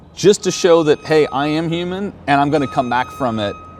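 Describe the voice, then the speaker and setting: With noticeable background noise behind him, a man speaks in an animated tone at a fairly quick pace, his fairly high voice swinging very widely in pitch. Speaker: podcast host and business leader. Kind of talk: casual walk-and-talk interview. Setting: outdoors at a racetrack.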